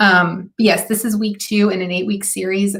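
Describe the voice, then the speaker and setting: At a medium pitch, a woman speaks in a somewhat breathy voice with monotone, flat intonation. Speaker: marketing consultant. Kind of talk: live stream talk. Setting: live video stream.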